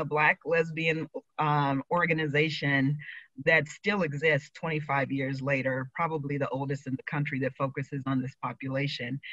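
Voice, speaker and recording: In an American accent, a woman speaks at a moderate pace with a very deep, low pitch and a bright, sharp tone. The sound is dry and close, with no echo. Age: 50s. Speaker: LGBT aging advocate. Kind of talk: prepared speech.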